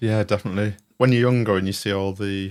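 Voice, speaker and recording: On a very clean recording with a silent background, a man with a British accent speaks fairly quickly in a fairly low voice. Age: 40s. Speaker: podcast host. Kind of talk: casual chat.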